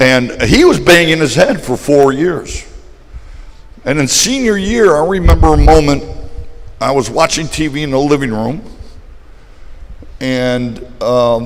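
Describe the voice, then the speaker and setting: A man's fairly high-pitched voice with lively intonation, a fairly slow pace and long, frequent pauses, amid audible room echo and noticeable background noise. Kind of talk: testimony.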